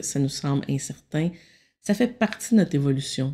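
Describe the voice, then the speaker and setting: A woman's dark, mellow voice, calm in tone with lively intonation. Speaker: meditation guide and consultant. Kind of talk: self-help talk. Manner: slow.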